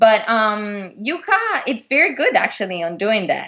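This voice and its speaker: This woman speaks with an Italian accent at a fairly slow pace. Her pitch sits fairly high. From Italy. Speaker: figure skater. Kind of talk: interview. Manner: halting.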